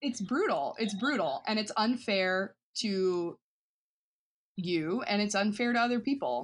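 A woman's fairly high voice with an American accent, a normal speaking voice, fairly slow pace, lively intonation and very even loudness. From US South, western North Carolina. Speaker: performance artist. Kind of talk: casual interview.

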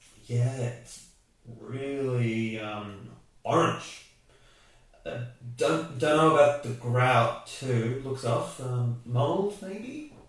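A man talks at a very slow pace, with long, frequent pauses and lively intonation. His pitch is medium, and background noise is noticeable. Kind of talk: scripted audio fiction.

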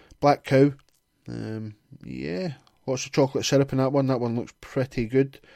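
A man with a Glaswegian accent speaks at a moderate pace. His tone is dark and mellow, with ordinary pitch variation. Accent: Glaswegian Scottish. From Scotland, Glasgow. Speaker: podcast host. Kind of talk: reading aloud with casual commentary. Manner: sarcastic, sweary asides.

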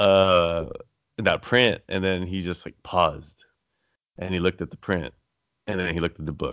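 With a very deep, low pitch, a man speaks at a moderate pace and fairly even intonation. His long pauses come often. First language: Tagalog. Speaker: podcast host. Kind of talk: casual interview chat. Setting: call.

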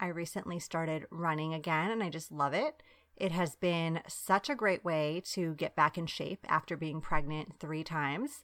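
In an American accent, a woman speaks at a moderate pace with an upbeat, warm tone on a very clean recording with a silent background. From Long Island, New York, US. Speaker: podcast host and time management coach for working moms. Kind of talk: scripted intro then solo podcast monologue. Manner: upbeat, warm, animated.

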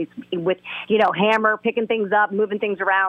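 A woman speaks at a fairly quick pace. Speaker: motorsports broadcaster. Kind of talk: casual chat. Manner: halting.

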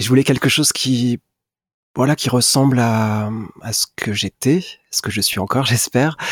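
At a moderate pace with long, frequent pauses, a man speaks at a medium pitch with ordinary pitch variation, the sound dry and close with no echo. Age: 40s. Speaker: singer-songwriter. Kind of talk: interview. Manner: hesitant.

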